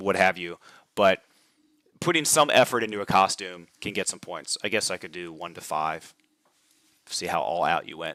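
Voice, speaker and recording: A man's bright, sharp voice with lively intonation, dry and close with no echo, in a very clean recording over a silent background. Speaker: tabletop wargaming channel host and tournament organizer. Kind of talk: livestream rules walkthrough. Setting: live stream. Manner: fast.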